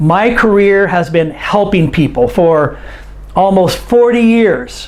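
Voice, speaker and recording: Speaking very slowly with an American accent, a man uses a high pitch and lively intonation, with noticeable background noise and audible room echo in the recording. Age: 60s. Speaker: English teacher. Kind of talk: online lesson.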